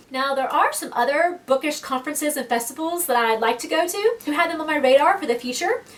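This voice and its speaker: In an American accent, a woman with a high pitch talks very fast with lively intonation and big swings in loudness, over noticeable background noise. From Georgia, US South. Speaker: book vlogger. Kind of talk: casual vlog monologue.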